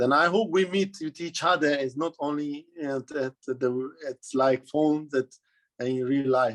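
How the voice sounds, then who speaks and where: The sound is dry and close, without any echo. A man talks fairly slowly, his pitch varying in an ordinary way. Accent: non-native. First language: Hungarian. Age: 30s. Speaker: footballer. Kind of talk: interview. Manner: halting.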